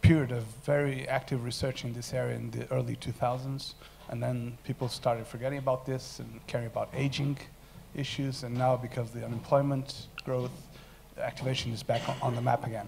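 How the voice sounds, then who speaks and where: A somewhat breathy man at a medium pitch, fairly quick in pace, with monotone, flat intonation. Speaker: academic researcher. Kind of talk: conference presentation. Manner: fast.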